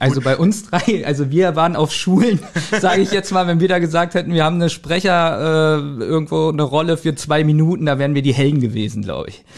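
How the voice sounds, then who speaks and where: A fairly quick pace, ordinary shifts in pitch, and noticeable noise in the background. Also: man, fairly high pitch for a man. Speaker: podcast co-host. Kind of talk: interview.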